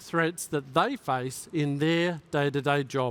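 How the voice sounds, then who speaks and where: With an Australian accent, a man talks with ordinary pitch variation. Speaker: tech executive giving a keynote. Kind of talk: keynote speech.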